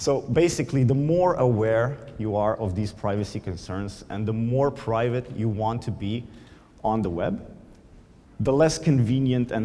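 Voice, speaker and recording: Through audible room echo, a man with a Slovenian accent speaks at a moderate pace, his fairly low voice dark and mellow with ordinary pitch variation. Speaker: conference speaker, product manager. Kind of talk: conference talk. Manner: hesitant, many fillers.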